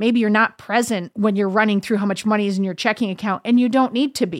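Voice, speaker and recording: On a very clean recording with a silent background, a woman with an American accent talks at a fairly quick pace in a fairly high pitch. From US Northeast. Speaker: podcast host and comedian. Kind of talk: casual advice chat. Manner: animated.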